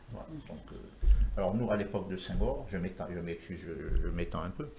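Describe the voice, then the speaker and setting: In a room with audible echo, a man speaks at a fairly quick pace in a very deep, low pitch with a dark, mellow tone, vocal fry, ordinary pitch variation and big swings in loudness. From Senegal (Rufisque, Dakar). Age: 60s. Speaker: architect. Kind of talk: TV talk show interview.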